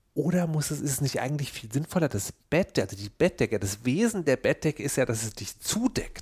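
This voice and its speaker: A somewhat breathy man with a fairly high pitch and an animated tone talks at a fairly quick pace with hardly any pauses and very wide pitch swings, in a dry, close sound with no echo. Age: 40s. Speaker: podcast co-host. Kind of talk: casual chat.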